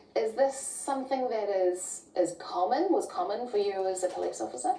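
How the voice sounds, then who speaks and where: A woman's fairly high voice makes very wide pitch swings at a moderate pace, with noticeable background noise. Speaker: TV news presenter. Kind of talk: TV news interview questions.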